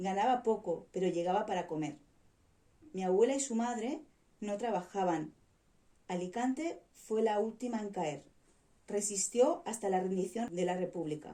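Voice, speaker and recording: A dark, mellow tone carries lively intonation. The pace is fairly slow, with long, frequent pauses. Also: woman, medium pitch for a woman. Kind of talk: story reading aloud.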